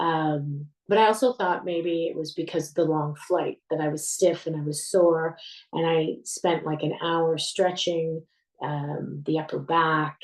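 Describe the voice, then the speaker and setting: A woman with a Canadian accent speaks at a very deep, low pitch. She goes fairly slowly with fairly even intonation. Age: 60s. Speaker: retired military veteran, heart patient. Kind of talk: personal testimony.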